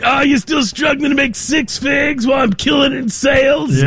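A man shouts in a nasal, put-on character voice. His pace is moderate. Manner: smug, boastful.

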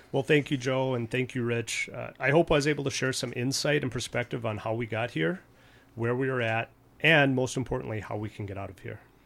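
This is a man with a normal speaking voice at a medium pitch. He talks at a fairly quick pace with ordinary pitch variation. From Minnesota. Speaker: police chief. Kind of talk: radio interview. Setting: radio studio.

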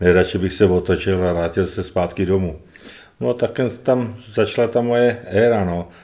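A man's very deep, low voice, dark and mellow in tone, at a moderate pace with ordinary pitch variation. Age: 60s. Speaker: retired footballer. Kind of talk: interview. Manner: halting, repetitive.

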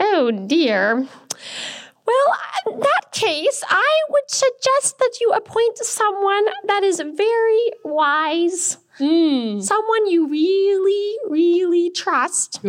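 In a squeaky, put-on character voice, a woman speaks at an extremely high pitch. She goes at a very slow pace, her pitch swinging very widely. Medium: puppet show. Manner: pompous, fussy.

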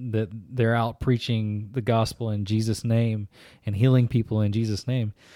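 A man speaks at a moderate pace and medium pitch in an ordinary speaking voice. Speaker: church podcast co-host. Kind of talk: casual chat. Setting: office.

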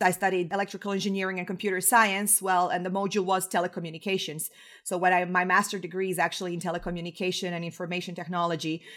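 Speaking very fast with hardly any pauses, a woman with a Croatian accent keeps a medium pitch and a monotone, flat intonation. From Croatia, Zagreb. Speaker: web performance engineer. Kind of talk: interview. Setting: remote call from home.

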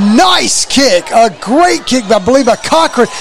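An energetic man's voice over noticeable background noise. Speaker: play-by-play radio announcer. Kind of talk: live play-by-play sports commentary. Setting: live radio broadcast from stadium. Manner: brisk, energetic play-by-play delivery.

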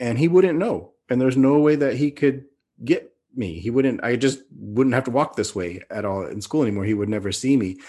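A man with an American accent speaks in a dark, mellow tone. His intonation is lively, and the background is quiet. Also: medium pitch for a man, moderate pace. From California, Bay Area and Sacramento. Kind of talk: interview storytelling. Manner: repeats words, halting restarts.

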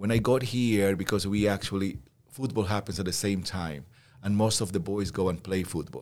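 On a very clean recording with a silent background, a man with a Spanish accent talks at a moderate pace in a fairly low voice with fairly even intonation. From Peru. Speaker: school teacher and volleyball coach. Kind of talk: interview.

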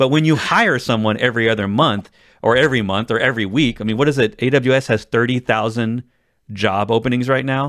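An unremarkable speaking voice moves at a fairly quick pace with very even loudness and fairly even intonation on a very clean recording with a silent background. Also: man, medium pitch for a man. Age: 40s. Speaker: tech podcast host. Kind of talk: casual chat.

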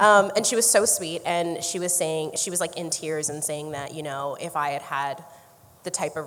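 A woman's very deep, low voice at a fairly quick pace, with noticeable background noise. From Canada, Niagara Falls area. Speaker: actor. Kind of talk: casual chat. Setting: live event with audience.

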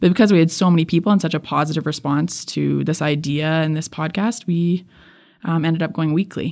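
In a Canadian accent, a woman with a plain, everyday voice speaks at a fairly quick pace, her pitch fairly low and her intonation fairly even. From Edmonton, Alberta, Canada. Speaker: photographer and podcaster. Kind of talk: interview. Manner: casual, with many fillers.

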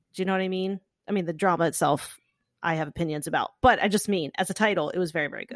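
A woman with an American accent at a very fast pace, ordinary pitch variation, dry close sound with no echo, and a very clean recording over a silent background. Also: medium pitch for a woman. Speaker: romance novelist podcast host. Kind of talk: casual chat.

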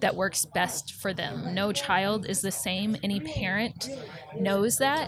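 Noticeable background noise sits behind this recording. A woman speaks with a medium pitch and ordinary pitch variation. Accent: American. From Nebraska, Omaha. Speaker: advocacy communications director. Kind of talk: interview.

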